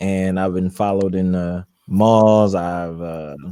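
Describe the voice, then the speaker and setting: A man's dark, mellow voice, fairly low in pitch and monotone with flat intonation, on a very clean recording with a silent background. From North Carolina (Charlotte), born in Brooklyn. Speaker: educator. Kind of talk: panel discussion.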